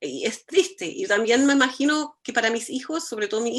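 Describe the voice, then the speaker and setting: A woman talking at a moderate speed, the background quiet. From Germany. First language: German (speaking Spanish). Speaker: architect, cultural foundation director. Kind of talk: conversation.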